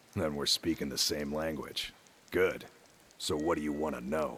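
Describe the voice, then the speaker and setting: Putting on a raspy character voice, a man speaks at a moderate pace with a very deep, low pitch and monotone, flat intonation. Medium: machinima. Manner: gruff, blunt.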